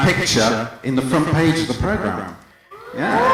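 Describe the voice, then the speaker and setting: A man speaks at a moderate pace in a fairly high pitch, with audible room echo and noticeable background noise. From England, London. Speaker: stand-up comedian. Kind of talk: stand-up. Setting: stage with audience.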